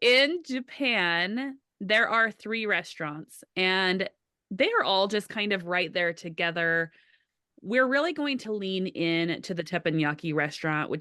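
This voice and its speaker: A woman with a Utah accent speaks at a fairly slow pace and medium pitch, with lively intonation. Her tone is bright and sharp against a quiet background. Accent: Utah American. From Utah, USA.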